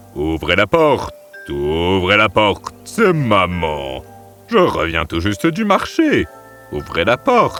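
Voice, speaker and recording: Against clear music in the background, a man growls in a put-on character voice at a fairly low pitch. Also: fairly slow pace. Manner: disguising himself as the mother goat.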